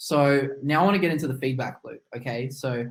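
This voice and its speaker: Somewhat breathy, this man speaks at a fairly high pitch. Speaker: marketing agency owner. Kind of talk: webinar training presentation.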